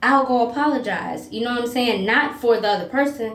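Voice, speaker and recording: There is noticeable background noise and audible room echo as a woman with an American accent speaks at a fairly high pitch with ordinary pitch variation. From US South. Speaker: self-help video host on narcissism and empaths. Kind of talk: monologue video talk. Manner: occasionally tongue-tied.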